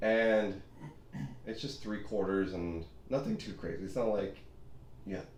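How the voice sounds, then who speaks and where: A man's fairly low voice with ordinary pitch variation, long and frequent pauses, and audible room echo. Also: moderate pace. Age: 20s. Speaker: physical therapy assistant. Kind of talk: casual chat.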